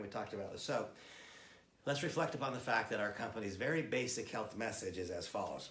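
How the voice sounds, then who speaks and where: A man at a very fast pace and medium pitch, with audible room echo. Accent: American. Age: 60s. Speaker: product trainer. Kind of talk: product training presentation.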